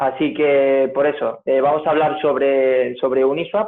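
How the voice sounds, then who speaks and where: His voice sits fairly high for a man. The intonation is fairly even throughout. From Spain, Granada (Andalusia). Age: 19. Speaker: crypto enthusiast presenter. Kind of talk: tutorial presentation. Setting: video call. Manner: hesitant, many fillers and repetitions.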